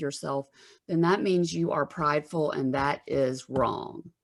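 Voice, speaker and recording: A woman speaks in a Southern US accent. Music plays in the background. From US South, Alabama. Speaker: therapist. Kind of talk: interview.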